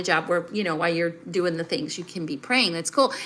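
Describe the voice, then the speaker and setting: Through noticeable background noise comes a woman's voice with an American accent. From US South. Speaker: life and finance coach. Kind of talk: live stream talk to viewers. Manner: conversational, with fillers.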